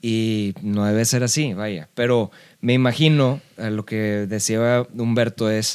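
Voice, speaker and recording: In a medium-pitched voice, a man speaks very slowly with fairly even intonation. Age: 30s. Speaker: rock musician. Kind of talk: casual chat.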